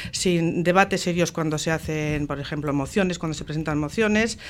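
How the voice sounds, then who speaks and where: A woman's fairly low pitch with ordinary pitch variation, in a plain, everyday voice. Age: 60s. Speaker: municipal election candidate, teacher. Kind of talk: radio election debate.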